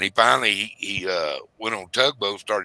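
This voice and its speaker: Bright and sharp in tone, a man with a Southern US accent comes through with a dry, close sound and no echo. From US South. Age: 60s. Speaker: retired commercial fisherman and livestreamer. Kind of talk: casual chat. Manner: halting.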